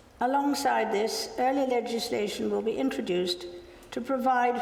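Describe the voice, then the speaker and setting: The voice is a woman's. Behind her, there is noticeable background noise. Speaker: monarch delivering a formal speech. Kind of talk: formal ceremonial speech.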